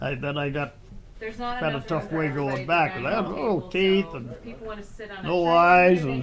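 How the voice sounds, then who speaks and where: Speech moves at a fairly slow pace with lively intonation and long, frequent pauses. Noticeable background noise is present. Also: man, high pitch for a man. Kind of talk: interview answer. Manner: hesitant, rambling storytelling.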